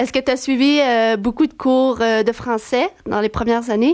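Fairly even intonation with a slightly mellow tone. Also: woman, fairly high pitch for a woman, moderate pace.

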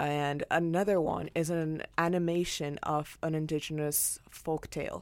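With a non-native accent, the speaker talks fairly slowly in a flat monotone on a very clean recording with a silent background. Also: woman. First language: not English. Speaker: university student arts correspondent. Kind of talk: casual review chat.

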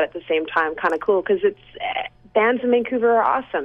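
The speaker moves at a fairly quick pace with ordinary pitch variation. Noticeable background noise sits behind the voice. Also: woman. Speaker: musician, band member. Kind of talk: phone interview chat. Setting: phone call from home. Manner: relaxed, cheerful.

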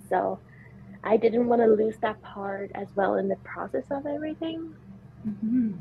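Ordinary pitch variation at a moderate pace over noticeable background noise. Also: woman, fairly high pitch for a woman. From Sweden. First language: Swedish. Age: 20s. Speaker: para-rower and kinesiology student. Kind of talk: interview. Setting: video call.

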